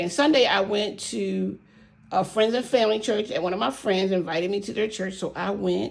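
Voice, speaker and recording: Speaking at a very fast pace, a woman has a medium pitch with ordinary variation. Her tone is animated, with vocal fry. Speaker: savings challenge vlogger. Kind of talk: casual vlog chat.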